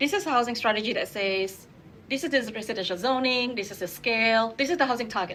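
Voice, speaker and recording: Her tone is bright and sharp, her pitch fairly high. This woman talks at a fairly quick pace with lively intonation. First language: not English. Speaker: urban designer. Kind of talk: panel discussion.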